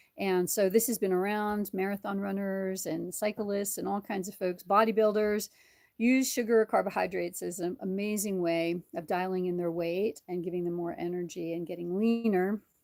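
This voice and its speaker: A woman speaks at a moderate pace and medium pitch, with hardly any pauses. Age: 60s. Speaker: chiropractor and diet video host. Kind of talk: casual live-stream talk. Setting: live stream. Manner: animated; halting.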